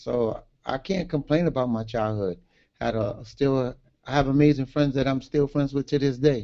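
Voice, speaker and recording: A man speaks in a New York accent with a dark, mellow tone. His pace is moderate and his pitch varies in an ordinary way. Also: medium pitch for a man. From Brooklyn, New York (Brownsville). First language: Garifuna. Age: 50s. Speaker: author. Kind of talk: interview. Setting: livestream.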